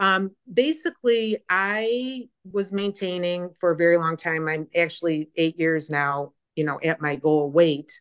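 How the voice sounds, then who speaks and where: A woman speaks at a fairly slow pace with a Chicago accent. Her pitch is fairly low, with ordinary variation. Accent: Chicago American. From US Midwest, Chicago area. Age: 60s. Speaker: fitness program member. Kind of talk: interview, personal story.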